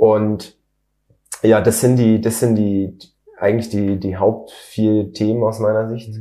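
A man's dark, mellow voice, monotone and flat, very slow with long, frequent pauses. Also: fairly low pitch for a man. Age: 30s. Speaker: mechanical engineer and company founder. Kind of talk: interview.

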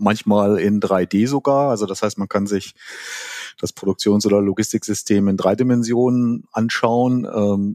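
A man's fairly low-pitched voice, dark and mellow in tone, with fairly even intonation at a fairly slow pace, in a dry, close sound with no echo. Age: 50s. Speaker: simulation expert. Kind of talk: interview.

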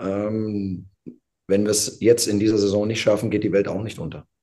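A man talks with a dark, mellow tone. His voice is fairly low, and his pace is moderate. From Hesse, Darmstadt region. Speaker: football coach. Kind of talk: interview.

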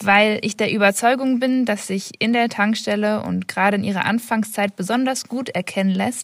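A woman with an unremarkable speaking voice, medium pitch and fairly even intonation. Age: 20s. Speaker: master's student. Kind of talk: voice message, prepared explanation.

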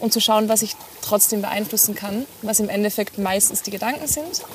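Noticeable background noise sits behind a woman's voice. She speaks at a moderate pace with a medium pitch. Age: 30s. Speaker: occupational therapist and mindset coach. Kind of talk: casual interview. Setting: outdoors by the sea.

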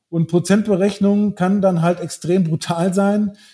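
Using fairly even intonation, a man speaks in a dark, mellow tone. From Brazil. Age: 40s. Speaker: wealth manager. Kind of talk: corporate podcast interview.

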